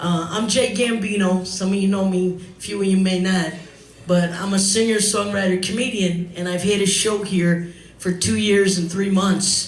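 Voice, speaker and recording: A man with an American accent speaks at a moderate pace in a high pitch with flat, monotone intonation, over noticeable background noise and audible room echo. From New York, the Bronx. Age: 60s. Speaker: singer and comedian. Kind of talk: eulogy speech at memorial. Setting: bar with live audience.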